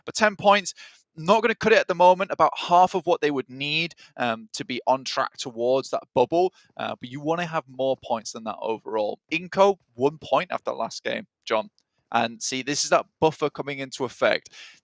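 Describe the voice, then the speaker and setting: Using an ordinary speaking voice, a man talks at a moderate pace and fairly high pitch with lively intonation and big swings in loudness, the sound dry and close with no echo. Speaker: esports commentator. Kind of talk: live commentary.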